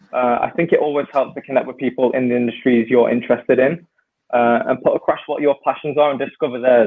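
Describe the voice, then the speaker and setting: His intonation stays fairly level. The man speaks at a very fast clip. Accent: British. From UK. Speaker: ex-professional footballer turned consultant. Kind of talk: casual interview chat. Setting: video call.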